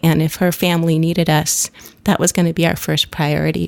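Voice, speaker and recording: A woman's fairly low voice with an American accent, in a very clean recording, dry and close with no echo and a silent background. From US Pacific Northwest (Seattle). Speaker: drummer and elementary school teacher. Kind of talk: podcast interview. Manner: halting.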